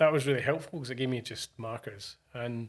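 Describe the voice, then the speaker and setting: The speech comes at a very fast pace. It is delivered in a Scottish accent. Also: man. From Scotland. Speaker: DJ and music producer. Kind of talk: casual chat.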